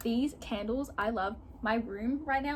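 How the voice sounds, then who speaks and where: A woman speaks in a high pitch with ordinary pitch variation, with noticeable background noise behind her. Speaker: vlogger. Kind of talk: casual chat. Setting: in her bedroom. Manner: loud; animated.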